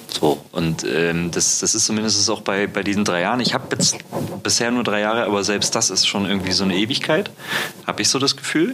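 Over noticeable background noise, a man with a fairly low pitch talks at a fairly quick pace, his loudness very even and his pitch varying in an ordinary way. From East Germany. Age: 20s. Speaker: podcast host. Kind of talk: casual interview chat. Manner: halting, many fillers.

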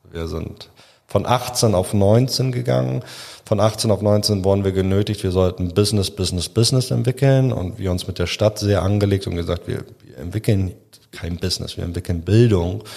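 A man's fairly low voice with a dark, mellow tone, ordinary pitch variation and a moderate pace. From Hamburg, northern Germany. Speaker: founder of a refugee gastronomy training program. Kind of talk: podcast interview.

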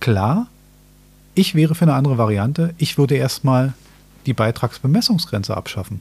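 A man speaks in a somewhat breathy voice with lively intonation. His speech has long, frequent pauses. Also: medium pitch for a man, moderate pace. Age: 40s. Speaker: podcast host. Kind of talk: casual chat.

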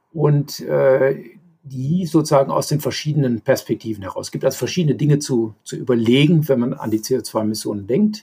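A man speaks at a fairly quick pace and fairly high pitch, somewhat breathy. His tone is dark and mellow, with lively intonation. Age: 60s. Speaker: hydrogen energy systems engineer. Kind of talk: interview. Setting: podcast recording. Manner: hesitant with fillers.

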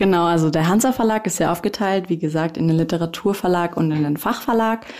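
A woman with a dark, mellow tone and medium pitch talks at a fairly quick pace with ordinary pitch variation. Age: 20s. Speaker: publishing trainee. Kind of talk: casual interview.

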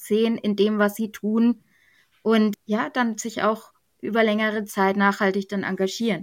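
A woman with an ordinary speaking voice and fairly high pitch talks at a moderate pace on a very clean recording with a silent background. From Germany, Bavaria (Middle Franconia). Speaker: church youth training leader. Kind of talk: podcast interview.

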